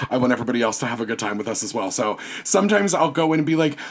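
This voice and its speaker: An animated man with an American accent and a fairly high pitch talks at a very fast pace over noticeable background noise. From US South, Virginia. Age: 30s. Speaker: podcast guest, costume designer and teacher. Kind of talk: casual chat.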